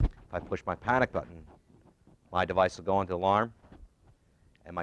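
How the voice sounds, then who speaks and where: Very deep and low in pitch, a man speaks at a very fast pace with long, frequent pauses and big swings in loudness. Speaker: safety equipment company representative. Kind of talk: seminar presentation.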